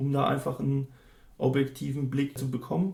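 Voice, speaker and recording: Somewhat breathy and dark, mellow in tone, a man's voice sits at a fairly high pitch and moves at a moderate pace. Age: 30s. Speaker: student counsellor. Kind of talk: interview. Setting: office.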